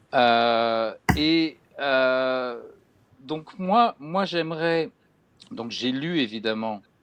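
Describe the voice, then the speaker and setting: A medium-pitched man talks at a very slow pace with ordinary pitch variation and long, frequent pauses. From France. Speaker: bookseller and crime fiction specialist interviewer. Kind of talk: literary interview. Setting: video call. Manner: halting, many hesitations.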